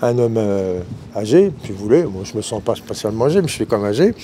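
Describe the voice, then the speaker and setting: A man's voice is heard along with noticeable background noise. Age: 60s. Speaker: customer interviewed in street, retired guitar teacher. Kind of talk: vox pop interview.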